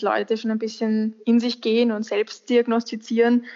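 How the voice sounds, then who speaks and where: A woman's fairly high voice runs monotone and flat at a moderate pace. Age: 20s. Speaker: medical student and volunteer hospital helper. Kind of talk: podcast interview.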